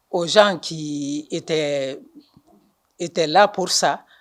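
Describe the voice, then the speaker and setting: Her words come at a very slow pace, and the woman's pitch varies in an ordinary way. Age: 60s. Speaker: party supporter interviewee. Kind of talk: interview. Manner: halting.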